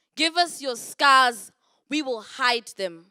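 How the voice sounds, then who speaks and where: In a very clean recording with a silent background, a woman with a high pitch projects a raised voice at a fairly slow pace, her pitch varying in an ordinary way. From South Africa. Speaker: poet. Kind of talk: poetry reading.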